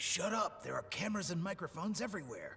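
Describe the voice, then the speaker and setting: Putting on a raspy character voice, a man talks very fast at a high pitch over light background noise. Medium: fan dub. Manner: curt, commanding.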